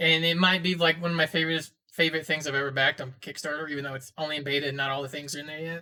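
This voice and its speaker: The speech runs at a very fast pace. There are hardly any pauses. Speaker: podcast host. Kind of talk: casual chat.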